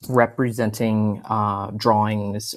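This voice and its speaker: A man speaks at a fairly low pitch in monotone, flat intonation. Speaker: ecologist. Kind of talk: out-of-character instructions to players.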